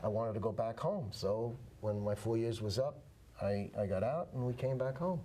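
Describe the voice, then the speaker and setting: Speaking with a New York accent, a man keeps a medium pitch, ordinary pitch variation, very even loudness and a moderate pace. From New York City (Manhattan). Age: 70s. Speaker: war veteran. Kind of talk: interview. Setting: studio.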